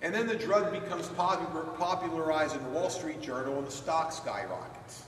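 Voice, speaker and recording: A man speaks over light background noise. Some room echo can be heard. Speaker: presenter. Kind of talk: lecture. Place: hall.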